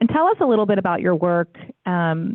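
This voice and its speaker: A woman at a fairly low pitch and a moderate pace. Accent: American. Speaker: board member and interviewer. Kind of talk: panel interview. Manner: energetic.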